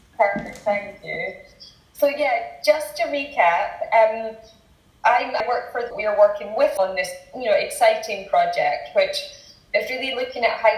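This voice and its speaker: A woman's Scottish accent, with audible room echo and noticeable background noise. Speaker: tech company researcher. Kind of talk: interview.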